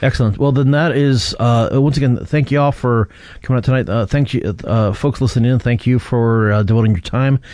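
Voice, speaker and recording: With an American accent and a normal speaking voice, a man talks at a fairly quick pace in a medium pitch, with ordinary pitch variation and very even loudness. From US Midwest, southeastern Michigan. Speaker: podcast host. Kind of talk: casual chat. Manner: rambling, filler-heavy.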